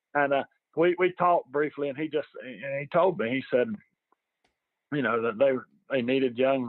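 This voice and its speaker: At a moderate pace, a man speaks with a Southern US accent at a medium pitch with ordinary pitch variation. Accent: Southern American. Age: 50s. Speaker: sports fan. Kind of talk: casual chat. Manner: halting, many repetitions.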